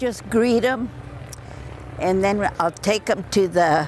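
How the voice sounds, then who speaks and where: Over music in the background, a woman talks at a very slow pace in a medium pitch. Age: 90s. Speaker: WWII factory riveter. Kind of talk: interview testimony. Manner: halting.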